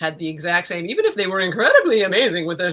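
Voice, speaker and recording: The voice carries a Midwestern accent and a bright, sharp tone. It moves at a very fast pace. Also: woman. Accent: American, Midwestern-sounding. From Central America, North Africa, Middle East and Connecticut. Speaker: actress and writer. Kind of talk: interview conversation. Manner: animated.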